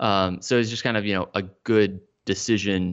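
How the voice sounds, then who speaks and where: A man with an unremarkable speaking voice, an American accent, a fairly low pitch, fairly even intonation and a moderate pace. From Texas, Dallas-Fort Worth. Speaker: physical therapy clinician and educator. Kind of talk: interview conversation.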